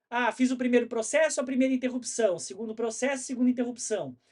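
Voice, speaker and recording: This man's voice sits at an extremely high pitch. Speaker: information security consultant and instructor. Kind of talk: online workshop. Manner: fast; animated, colloquial.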